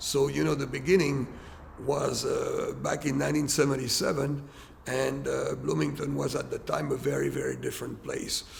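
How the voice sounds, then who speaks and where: A man with a French accent speaks at a moderate pace. There is audible room echo and noticeable background noise. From France. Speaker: restaurant owner. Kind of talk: documentary interview.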